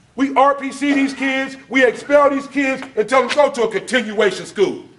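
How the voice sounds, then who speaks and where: With noticeable background noise, a man with an American accent speaks at an extremely high pitch. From Los Angeles, US West Coast. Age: 40s. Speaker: officer and former gang member. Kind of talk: public talk at a luncheon.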